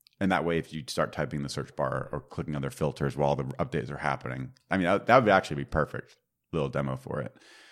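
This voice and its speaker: Very deep and low with vocal fry, a man's voice races at a very fast pace with ordinary pitch variation. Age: 30s. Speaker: software developer podcast host. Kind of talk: casual tech chat.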